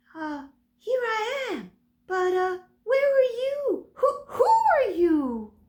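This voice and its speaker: A squeaky, female-sounding put-on character voice, pitched extremely high and delivered at a very slow pace. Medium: read story.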